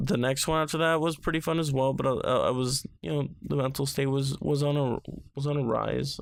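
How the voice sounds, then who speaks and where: A man speaks at a fairly quick pace with very even loudness. His intonation stays fairly even. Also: fairly high pitch for a man. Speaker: YouTuber. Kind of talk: casual vlog monologue. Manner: mellow.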